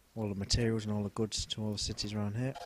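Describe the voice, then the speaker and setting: A man with a Leicester accent and a fairly low pitch. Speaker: gaming commentator. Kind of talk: gameplay commentary. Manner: casual, with fillers.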